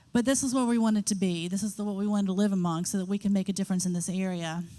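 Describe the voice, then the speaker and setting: Her medium pitch and fairly even intonation hold as a woman speaks at a very fast pace. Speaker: missionary. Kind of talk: testimony.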